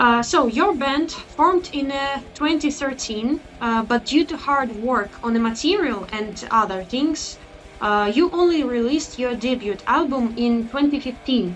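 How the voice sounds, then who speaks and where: Music plays in the background as a woman talks at a fairly slow pace with hardly any pauses. Her pitch is high and her intonation lively. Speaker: interviewer. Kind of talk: interview. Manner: halting.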